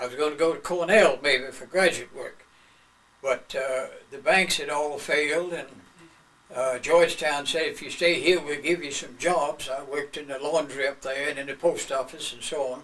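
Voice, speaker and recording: The speaker has a North Carolina accent and a moderate pace, with fairly even intonation and big swings in loudness. Background noise is noticeable. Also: man, fairly high pitch for a man. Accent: Southern US (North Carolina). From US South, North Carolina (Greensboro). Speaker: retired lawyer. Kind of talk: oral history interview.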